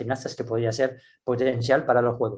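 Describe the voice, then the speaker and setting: A man talks with a French accent. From France. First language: French (speaking Spanish). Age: 60s. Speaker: gymnastics coach. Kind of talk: interview. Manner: halting, with many restarts and fillers.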